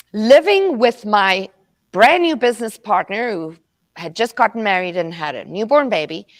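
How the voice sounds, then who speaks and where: A woman speaks with a slight South African accent. Her pitch is fairly high. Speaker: motivational speaker. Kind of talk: motivational talk. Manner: high energy.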